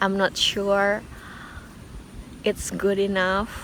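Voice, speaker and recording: A woman speaks with an Indonesian accent. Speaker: singer and vlogger. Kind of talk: casual vlog. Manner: halting.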